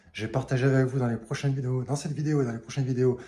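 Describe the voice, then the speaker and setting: Dark, mellow tone in a somewhat breathy male voice. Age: 40s. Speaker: fitness youtuber. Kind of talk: casual vlog tutorial. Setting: outdoors on terrace. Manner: soft-spoken.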